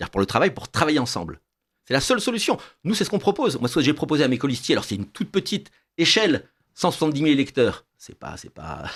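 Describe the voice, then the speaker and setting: Very fast and fairly high for a man, this voice has vocal fry and very wide pitch swings, recorded very cleanly against a silent background. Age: 60s. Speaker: political candidate. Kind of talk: radio interview.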